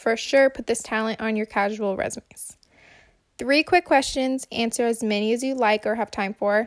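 A woman with an American accent at fairly high pitch, moderate pace and ordinary pitch variation, in a dry, close sound with no echo on a very clean recording with a silent background. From US Midwest. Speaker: listener leaving a voice memo. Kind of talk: recorded voice message.

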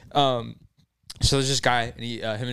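On a very clean recording with a silent background, a man talks at a fairly quick pace in an ordinary speaking voice with fairly even intonation. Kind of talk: casual chat.

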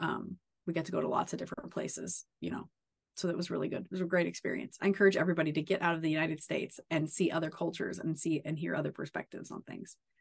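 A woman with an American accent talks at a very fast pace, her fairly low pitch carrying vocal fry and fairly even intonation. The sound is dry and close, with no echo. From Kansas, southeast. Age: 30s. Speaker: rancher and agriculture advocate. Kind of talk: casual interview chat.

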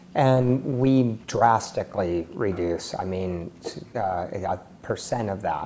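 Talking at a very slow pace in an American accent, a man uses a fairly low pitch with ordinary pitch variation. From California, Silicon Valley. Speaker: tech entrepreneur. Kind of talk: interview.

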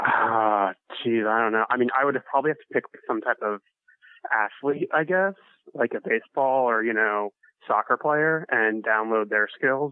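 This is a plain, everyday voice. A man speaks at a moderate pace. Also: medium pitch for a man, ordinary pitch variation. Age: 20s. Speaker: listener on the show. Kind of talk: casual chat.

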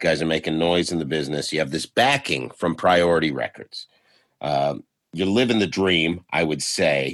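A man's very deep, low voice with vocal fry. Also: quiet background. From Canada, Toronto. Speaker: podcast host and stand-up comedian. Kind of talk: interview.

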